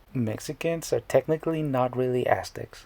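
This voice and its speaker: At a moderate pace, a man talks at a medium pitch in a somewhat breathy voice. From Mexico, northern border. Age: 30s. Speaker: comedic YouTuber. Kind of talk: comedic explainer monologue.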